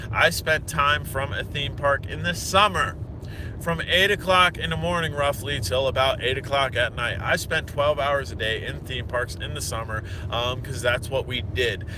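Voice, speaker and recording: This man has a medium pitch and very wide pitch swings at a moderate pace. Noticeable background noise is present. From Pennsylvania (Hershey). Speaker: drone reviewer / vlogger. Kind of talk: casual vlog monologue. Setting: in a car.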